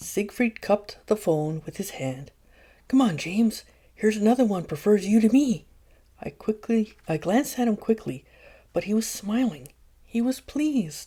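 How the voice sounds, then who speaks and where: On a very clean recording with a silent background, a soft-spoken woman talks at a moderate pace in a fairly high, somewhat breathy voice with a gentle tone and very wide pitch swings. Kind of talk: ASMR audiobook reading, gentle bedtime-style. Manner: gentle, soft, with laughter.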